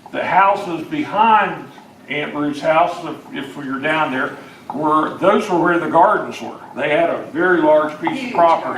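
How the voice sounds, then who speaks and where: Over noticeable background noise, a man with a high-pitched voice speaks with big swings in loudness. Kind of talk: oral history talk to an audience. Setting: live audience gathering.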